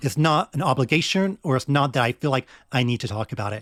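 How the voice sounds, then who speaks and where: A man at medium pitch with an American accent, very fast delivery and ordinary pitch variation, on a very clean recording with a silent background and a dry, close sound with no echo. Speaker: gaming podcaster. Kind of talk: interview conversation. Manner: loud and clear, projected; confident.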